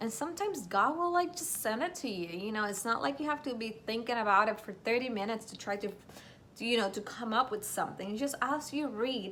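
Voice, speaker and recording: With a non-native accent, a woman talks at a fairly quick pace in a fairly high pitch, her intonation lively. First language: not English. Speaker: Bible study vlogger. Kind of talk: casual Bible study tutorial.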